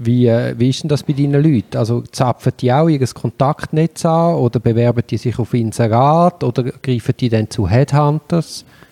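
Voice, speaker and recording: A man talks with hardly any pauses in a dark, mellow tone at a medium pitch, with ordinary pitch variation and very even loudness. The sound is dry and close with no echo, over a quiet background. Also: moderate pace. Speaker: podcast host, lawyer. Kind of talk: interview. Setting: guest's place.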